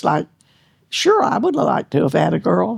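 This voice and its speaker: A woman is speaking. She talks with a Texan accent. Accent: Texan Southern. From East Texas. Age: 90s. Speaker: hunter. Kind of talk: interview answer.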